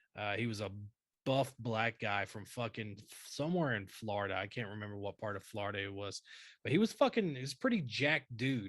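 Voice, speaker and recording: With a Southern US accent, a man talks in an animated tone at a medium pitch and moderate pace. The recording is very clean, with a silent background. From North Carolina. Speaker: army veteran podcast co-host. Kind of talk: casual chat.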